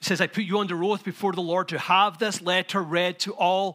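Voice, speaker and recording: High-pitched, raised and projected speech from a man, bright and sharp in tone, at a moderate pace with fairly even intonation, in a very clean recording with a silent background. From Scotland. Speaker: pastor. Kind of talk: sermon. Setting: church.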